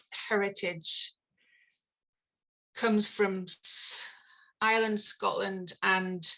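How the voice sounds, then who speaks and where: Her voice is a woman's, medium in pitch with a bright, sharp tone. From northeast England, County Durham. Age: 50s. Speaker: evolutionary theory scholar and comedian. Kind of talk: podcast interview conversation. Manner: hesitant, many fillers and restarts.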